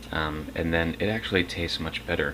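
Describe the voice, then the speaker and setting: A man is whispering. Noticeable background noise is present. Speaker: home cook. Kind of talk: cooking tutorial. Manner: halting.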